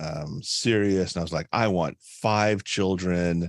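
A man speaks fairly slowly at a very deep, low pitch with fairly even intonation. The recording is very clean, with a silent background and a dry, close sound with no echo. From Caribbean immigrant household. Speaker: executive and leadership coach. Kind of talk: casual chat.

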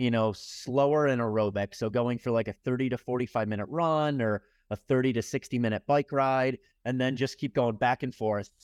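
A man with an ordinary speaking voice at medium pitch speaks at a moderate pace with fairly even intonation, the sound dry and close with no echo over a quiet background. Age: 40s. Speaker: endurance athlete and entrepreneur. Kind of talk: casual interview.

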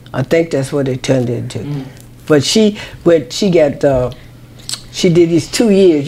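A woman with an American accent and a very deep, low pitch speaks at a moderate pace amid noticeable background noise. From Louisiana, US South. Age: 90s. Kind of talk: casual interview chat. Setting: at her home. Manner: lively, energetic, playful.

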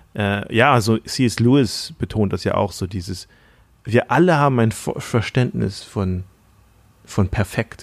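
With an unremarkable speaking voice, a man at a fairly low pitch talks at a fairly slow pace with ordinary pitch variation, on a very clean recording with a silent background. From Thailand. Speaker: podcast host and church planter. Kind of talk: casual chat.

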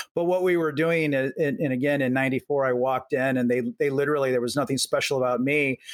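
A man with an American accent at a very fast pace, fairly high in pitch, with fairly even intonation, very even loudness and hardly any pauses. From US Midwest, Omaha, Nebraska. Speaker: venture capitalist. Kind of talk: interview. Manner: conversational, repeats words.

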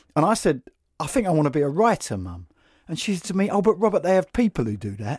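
In a London accent, a man with a high pitch and very wide pitch swings talks at a very fast pace, recorded dry and close with no echo in a very clean recording with a silent background. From London, west (Notting Hill area). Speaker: podcast host and writer. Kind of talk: casual interview conversation. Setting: recorded at a college venue.

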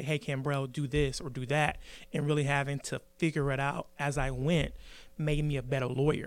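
A plain, everyday voice from a man at a fairly high pitch, on a very clean recording with a silent background. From South Carolina, Midlands (Columbia). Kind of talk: interview.

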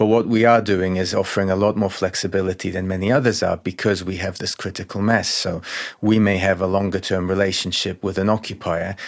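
Delivered at a fairly quick pace, the speech has a monotone, flat intonation. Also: man, very deep, low pitch for a man. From Soviet Union. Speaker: company founder and CEO. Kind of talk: podcast interview. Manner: repeats words often, somewhat halting.

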